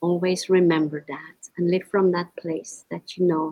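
A woman's fairly low voice, monotone and flat in intonation, at a fairly slow pace. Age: 50s. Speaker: kindness advocate and business consultant. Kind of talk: interview.

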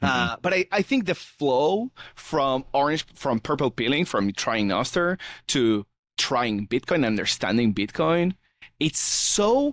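On a very clean recording with a silent background and a dry, close sound with no echo, a man speaks at a fairly slow pace with very wide pitch swings. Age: 30s. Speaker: software developer. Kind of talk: casual chat.

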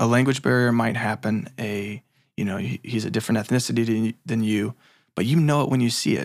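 Here a man speaks at a medium pitch. His is an unremarkable speaking voice. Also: ordinary pitch variation, fairly quick pace. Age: 30s. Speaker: filmmaker. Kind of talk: interview.

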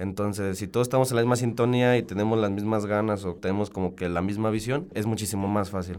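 A man's fairly low voice at a very fast pace with hardly any pauses and fairly even intonation. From Mexico, Salamanca (Guanajuato). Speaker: chemical engineering student, student council member. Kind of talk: radio interview. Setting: radio studio.

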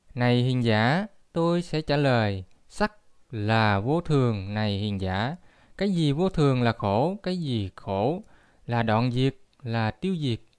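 In a very clean recording with a silent background, a man speaks at a very slow pace with very wide pitch swings. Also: medium pitch for a man. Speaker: Buddhist lecturer. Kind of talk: lecture.

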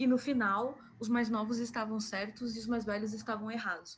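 Her pitch is fairly high. There's a somewhat breathy quality to how she sounds. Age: 30s. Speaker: podcast co-host, pop culture fan. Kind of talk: casual chat.

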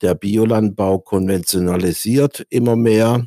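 With a dark, mellow tone, a man speaks at a fairly low pitch and a fairly slow pace, his intonation fairly even, in a dry, close sound with no echo on a very clean recording with a silent background. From Kaiserstuhl, Baden (southwest Germany). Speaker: organic farming entrepreneur. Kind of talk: interview conversation.

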